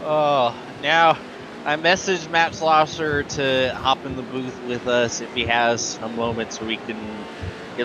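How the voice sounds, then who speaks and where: Over noticeable background noise, a man with a fairly high voice speaks fairly slowly with ordinary pitch variation. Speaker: sim racing commentator. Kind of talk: live commentary.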